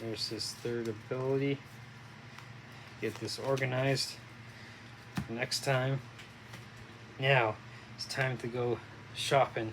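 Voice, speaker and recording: Amid noticeable background noise, a man mumbles at a very slow pace and a medium pitch, his intonation monotone and flat, with long, frequent pauses. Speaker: board game playthrough host. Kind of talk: casual tabletop game commentary. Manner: halting, many fillers; mumbling.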